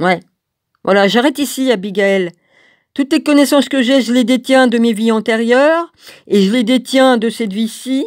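Recorded very cleanly against a silent background, a woman with a high pitch speaks at a moderate pace with ordinary pitch variation, leaving long, frequent pauses. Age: 60s. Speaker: religious video blogger. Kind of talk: video monologue. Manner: halting.

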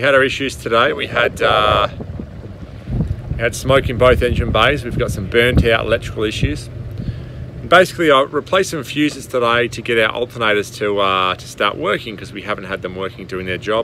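A man talks at a moderate pace with ordinary pitch variation and big swings in loudness. The sound is dry with no echo, though noticeable background noise comes through. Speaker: boat owner sailing vlogger. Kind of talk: casual vlog chat. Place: boat. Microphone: phone near.

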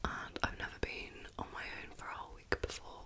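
A woman is whispering. She speaks at a fairly quick pace. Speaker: ASMR chat video host. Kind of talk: casual soft-spoken chat while eating. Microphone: studio mic.

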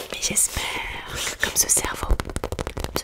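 A soft-spoken woman is whispering at a fairly slow pace. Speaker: ASMR creator. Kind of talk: soft ASMR show-and-tell chat. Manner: soft close-mic ASMR whisper. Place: home room. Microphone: studio mic.

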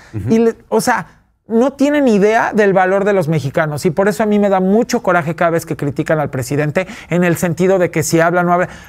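Over a quiet background, a man with a high pitch speaks at a fairly quick pace. His intonation is lively and his loudness very even. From Mexico City. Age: 40s. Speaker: businessman and fashion expert; talk show guest. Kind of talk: interview. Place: studio.

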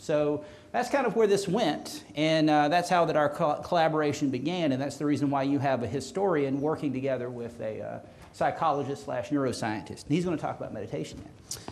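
Relaxed in tone, a man talks at a fairly quick pace with ordinary pitch variation. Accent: slight Southern US. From US South. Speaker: historian and professor. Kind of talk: lecture. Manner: humorous, relaxed. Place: hall.

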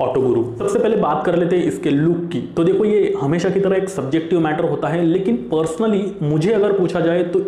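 A man with a high voice speaks at a moderate pace with hardly any pauses and ordinary pitch variation. His loudness stays very even, and room echo is audible. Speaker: auto channel host. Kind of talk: product review talk. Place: studio. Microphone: lapel.

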